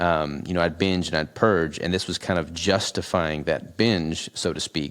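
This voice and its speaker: A man speaks in a very deep, low pitch with fairly even intonation and hardly any pauses. The recording is very clean, with a silent background. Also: moderate pace. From US South, Arkansas. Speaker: natural bodybuilder. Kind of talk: podcast interview. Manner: casual, filler-heavy.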